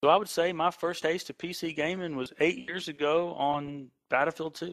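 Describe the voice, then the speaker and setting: A man with an American accent speaks at a moderate pace in a fairly high pitch, with ordinary pitch variation. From Texas. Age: 30s. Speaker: gaming clan leader. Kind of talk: podcast interview. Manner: animated.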